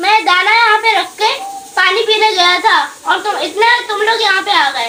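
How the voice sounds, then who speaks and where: Putting on a character voice, a woman talks at a fairly quick pace at an extremely high pitch over clear background noise. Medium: read story.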